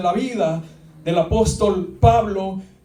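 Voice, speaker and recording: With a dark, mellow tone and a high pitch, a man talks amid audible room echo. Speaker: pastor. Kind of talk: sermon. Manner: halting.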